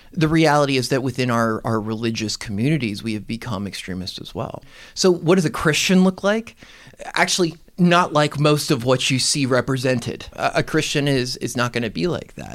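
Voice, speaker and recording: Talking at a fairly quick pace, a man with a medium pitch uses lively intonation. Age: young. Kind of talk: casual interview chat. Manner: unconventional, candid.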